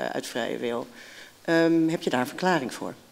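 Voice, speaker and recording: A woman speaks with lively intonation. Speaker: moderator. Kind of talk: panel moderation. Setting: stage with audience. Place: hall. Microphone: handheld.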